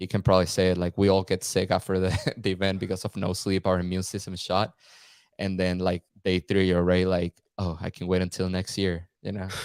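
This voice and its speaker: A man's very deep, low voice in a Spanish accent, fairly quick and monotone with flat intonation, with a dry, close sound with no echo. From Venezuela, Caracas. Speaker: content creator. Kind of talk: podcast interview. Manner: casual, halting with repetitions.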